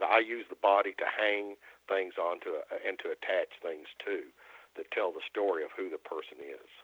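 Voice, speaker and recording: A man speaks with an American accent at a moderate pace. His loudness swings a lot. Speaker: artist. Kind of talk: interview. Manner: halting.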